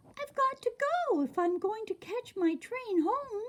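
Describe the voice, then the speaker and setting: In a squeaky, put-on character voice, a woman speaks at an extremely high pitch and a moderate pace, with very wide pitch swings. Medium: read story.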